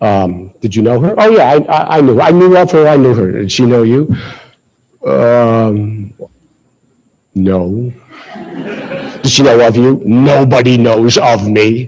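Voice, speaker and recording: A man with an American accent at a medium pitch, speaking at a fairly slow pace with lively intonation and long, frequent pauses. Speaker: ceremony speaker, actor. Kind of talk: speech to audience. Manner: halting.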